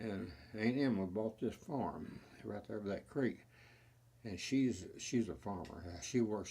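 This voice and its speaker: A man speaks with a Texan accent at a fairly slow pace. His fairly low voice has a dark, mellow tone and ordinary pitch variation. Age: 80s+. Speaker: family storyteller. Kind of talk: interview answer.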